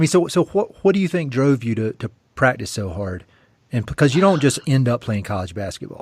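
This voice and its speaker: A man with an American accent speaks at medium pitch and a fairly quick pace, somewhat breathy, his pitch swinging very widely. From US South, eastern North Carolina. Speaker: podcast host. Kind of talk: podcast interview. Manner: casual.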